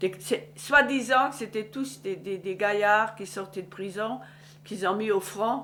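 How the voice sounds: At a fairly slow pace, a woman speaks at medium pitch with a fairly bright tone and ordinary pitch variation.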